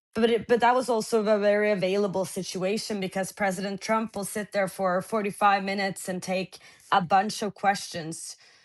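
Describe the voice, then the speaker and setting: Monotone, flat delivery at a moderate pace with hardly any pauses, over a quiet background. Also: woman, medium pitch for a woman. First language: Norwegian. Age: 20s. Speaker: journalist. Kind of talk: interview. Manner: halting.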